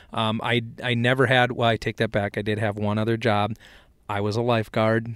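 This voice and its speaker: Talking at a moderate pace, a man with an American accent keeps his medium pitch in monotone, flat intonation. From south central Minnesota. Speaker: ag equipment product specialist and podcast host. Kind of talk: casual chat.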